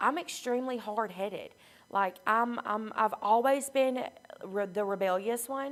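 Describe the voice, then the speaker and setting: A woman with a Southern US accent speaks at a fairly slow pace with ordinary pitch variation. Her voice is shaky. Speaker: recovery program member sharing her story. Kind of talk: testimony. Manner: shaky, emotional; halting, many fillers.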